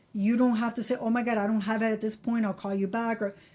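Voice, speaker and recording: A woman speaks with a Miami accent and a fairly high pitch. Her tone is dark and mellow, and somewhat breathy. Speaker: credit advice YouTuber. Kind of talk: casual tutorial to camera. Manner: casual, repeats for emphasis.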